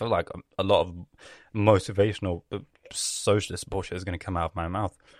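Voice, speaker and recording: The sound is dry and close with no echo, and the speech moves at a fairly quick pace. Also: man, fairly low pitch for a man, very clean recording, silent background. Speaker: podcast host. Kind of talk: solo casual monologue. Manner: animated.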